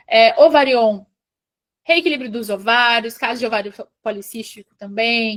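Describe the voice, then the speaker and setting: Her fairly high voice, with ordinary pitch variation, is a normal speaking voice for a woman. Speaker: aesthetics professional teaching a training class. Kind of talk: online training lecture.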